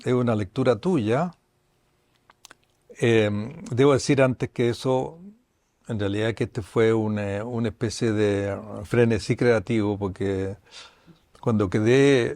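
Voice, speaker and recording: Speaking at a very slow pace with long, frequent pauses, a man uses a medium pitch and ordinary pitch variation. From Chile. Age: 80s+. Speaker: psychoanalyst and author. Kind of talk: panel conversation. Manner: halting, with repetitions.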